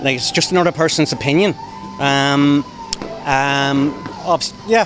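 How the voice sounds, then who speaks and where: A man with an Irish accent at a moderate pace, fairly high in pitch with ordinary variation, music in the background. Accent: Irish, Wexford. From Ireland, Gorey, Co. Wexford. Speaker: street protester. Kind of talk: street interview. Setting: outdoors on street. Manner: halting, many fillers and repeats.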